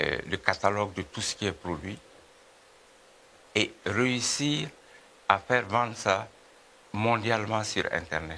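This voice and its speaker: Very slowly, with long, frequent pauses, a man speaks in a bright, sharp tone with ordinary pitch variation. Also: fairly low pitch for a man. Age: 70s. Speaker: music producer and businessman. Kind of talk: TV interview. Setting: TV studio. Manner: halting, many hesitations.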